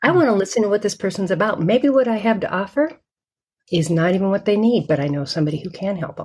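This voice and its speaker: Her voice somewhat breathy and medium in pitch, a woman talks at a very fast pace with lively intonation. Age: 60s. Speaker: sales mental fitness coach. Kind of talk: interview.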